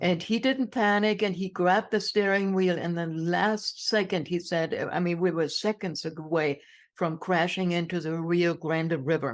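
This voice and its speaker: A woman with a German accent speaks at a moderate pace in a fairly low voice with ordinary pitch variation, on a very clean recording with a silent background. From Germany. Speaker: inspirational speaker. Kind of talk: interview testimony.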